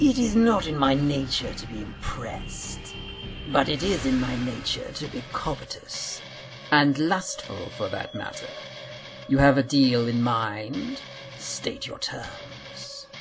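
A put-on character voice moves at a fairly slow pace. Background noise is clear in the recording. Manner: urbane, sardonic, amused.

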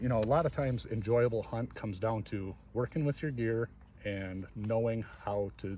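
A man with a somewhat breathy voice speaks at a moderate pace with ordinary pitch variation. The sound is dry with no echo, and there is noticeable background noise. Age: 40s. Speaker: hunter and gear vlogger; gear vlogger. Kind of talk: casual gear review talk. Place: garden. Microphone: phone near.

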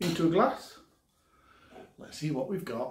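Vocal fry at a fairly slow pace, with audible room echo. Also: man.

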